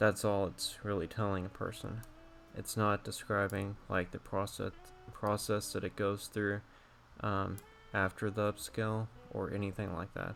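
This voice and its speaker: Against music in the background, a man speaks at a moderate pace in a fairly low pitch, his intonation monotone and flat. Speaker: digital artist. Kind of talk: tutorial. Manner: halting.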